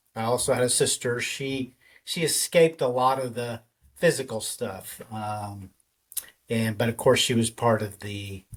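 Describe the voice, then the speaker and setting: Somewhat breathy and with an American accent, the voice moves at a fairly slow pace in a very clean recording with a silent background. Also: man, medium pitch for a man, ordinary pitch variation. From Texas, Dallas. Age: 50s. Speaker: podcaster. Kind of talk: personal testimony. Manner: halting, many fillers.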